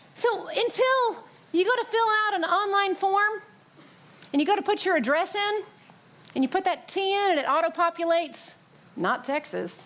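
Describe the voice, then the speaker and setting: A woman with a Southern accent speaks at a moderate pace in an extremely high pitch. Her tone is animated. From US South, Tennessee (near Nashville). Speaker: pastor. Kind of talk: sermon.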